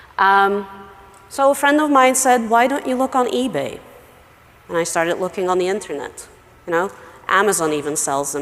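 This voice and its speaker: A woman's voice with lively intonation over noticeable background noise. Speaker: email marketing expert, conference speaker. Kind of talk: conference talk.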